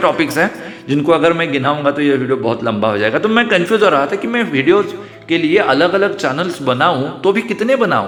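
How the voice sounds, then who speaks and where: Over music in the background, a man speaks with a Marathi accent at a moderate pace and with lively intonation. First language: Marathi (speaking Hindi). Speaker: YouTuber. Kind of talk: vlog monologue. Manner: hesitant, with fillers.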